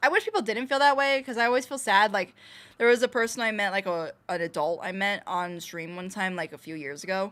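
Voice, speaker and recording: A woman with an ordinary speaking voice, medium pitch, and lively intonation talks at a fairly quick pace in a very clean recording with a silent background. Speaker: streamer. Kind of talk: casual chat. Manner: casual, filler-heavy.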